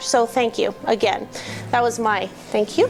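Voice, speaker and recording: Music plays behind a loud woman with a high voice. She talks at a fairly quick pace with ordinary pitch variation. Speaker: business association co-founder. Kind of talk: speech to a club meeting.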